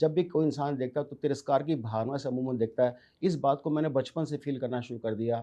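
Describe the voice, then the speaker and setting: This man's voice sits at a fairly high pitch. Its tone is dark and mellow. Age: 60s. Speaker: businessman. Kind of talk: interview. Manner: animated.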